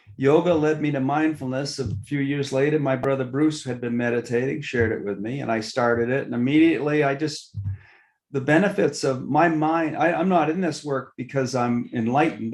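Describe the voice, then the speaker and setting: A man with a plain, everyday voice, fairly high in pitch, with ordinary pitch variation and a moderate pace. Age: 60s. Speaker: mindfulness teacher and entrepreneur. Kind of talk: podcast interview.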